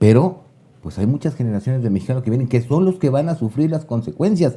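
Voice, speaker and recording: Somewhat breathy, a man speaks at a medium pitch in a dark, mellow tone. His pace is very fast and his intonation lively. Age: 60s. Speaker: political commentator. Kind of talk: casual chat.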